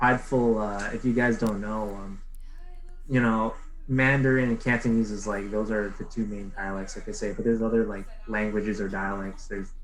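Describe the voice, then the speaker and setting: A man's lively intonation at a fairly quick pace, with audible room echo. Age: 20s. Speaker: podcast guest, content creator. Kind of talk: casual chat. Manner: animated, many fillers.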